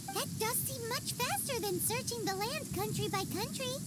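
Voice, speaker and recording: A squeaky, put-on character voice comes through over loud background noise. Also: moderate pace. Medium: game stream. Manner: casual, wry.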